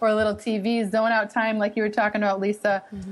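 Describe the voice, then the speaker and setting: A woman with a slight Boston accent speaks at a fairly high pitch. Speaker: professor and author. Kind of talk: radio interview.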